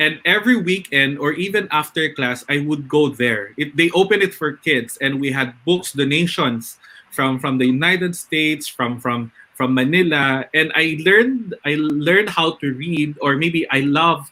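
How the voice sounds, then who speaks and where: With a Filipino accent, the speaker goes at a moderate pace with ordinary pitch variation and hardly any pauses. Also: man, fairly high pitch for a man. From northern Philippines. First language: Ilocano. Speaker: webinar host, educator. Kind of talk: live webinar panel discussion.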